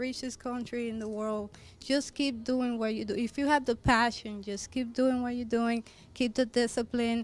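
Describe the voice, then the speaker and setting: In a very clean recording with a silent background, a woman with a Spanish accent speaks at a moderate pace in a fairly high pitch, her intonation fairly even. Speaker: fashion designer. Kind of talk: interview. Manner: halting.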